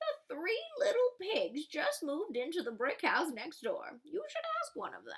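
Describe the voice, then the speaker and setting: Putting on a character voice with an extremely high pitch and very wide pitch swings, a woman talks at a moderate pace with hardly any pauses. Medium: read story.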